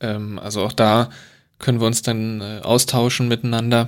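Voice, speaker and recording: Here a man speaks at a medium pitch in a monotone, flat intonation. The recording is very clean with a silent background. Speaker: podcast host, transport planner. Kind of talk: casual chat.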